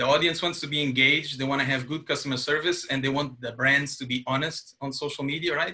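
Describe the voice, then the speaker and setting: Talking at a fairly quick pace, a man with a Portuguese accent has a fairly high pitch and a bright, sharp tone. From Portugal. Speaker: webinar host and digital content lead. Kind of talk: webinar presentation. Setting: online webinar.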